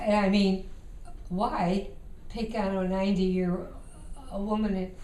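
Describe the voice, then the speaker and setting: Speaking at a fairly slow pace with long, frequent pauses, a woman holds a medium pitch in a monotone, flat intonation, with noticeable background noise and audible room echo. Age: 80s+. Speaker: grandmother telling her life story. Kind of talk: casual chat. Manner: halting.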